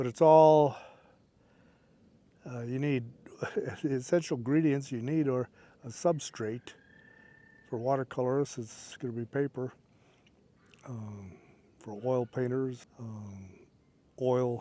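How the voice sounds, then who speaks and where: With a dark, mellow tone and medium pitch, a man talks at a fairly slow pace with ordinary pitch variation and long, frequent pauses. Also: big swings in loudness. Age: 70s. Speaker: painting instructor, YouTuber. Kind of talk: tutorial. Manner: casual, halting with fillers.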